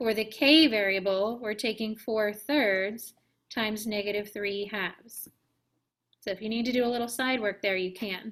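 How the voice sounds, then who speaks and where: A woman speaks in an ordinary speaking voice, fairly high in pitch, at a moderate pace and with fairly even intonation. The recording is very clean, with a silent background. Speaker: math teacher. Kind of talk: classroom lecture. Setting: classroom with students.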